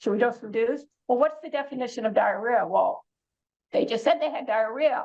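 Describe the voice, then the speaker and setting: At a fairly quick pace, a woman with a high voice speaks with ordinary pitch variation. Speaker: oncology clinician educator. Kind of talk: continuing medical education presentation. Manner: fast.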